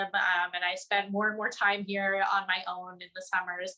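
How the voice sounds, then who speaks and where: A woman with an American accent, a bright, sharp tone and a moderate pace. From New Jersey, US. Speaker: journalist. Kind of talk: webinar interview.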